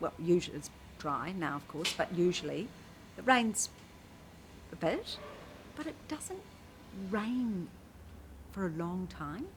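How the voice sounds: A woman puts on a character voice at medium pitch, mumbling at a fairly slow pace. Her loudness swings widely, and she leaves long, frequent pauses.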